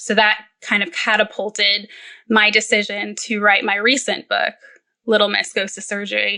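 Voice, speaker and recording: A woman talks at a moderate pace and medium pitch in a bright, sharp tone with vocal fry. Her intonation stays monotone and flat. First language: Spanish. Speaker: perioperative nurse and children's book author. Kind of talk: podcast interview.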